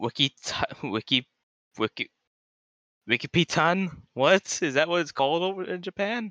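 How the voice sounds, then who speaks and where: Someone with an American accent speaks at a moderate pace, leaving long, frequent pauses. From Florida, US. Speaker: guest. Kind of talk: casual chat. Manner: animated, laughing often.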